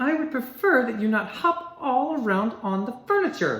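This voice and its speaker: A woman puts on a character voice pitched high. She talks at a moderate pace. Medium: read story.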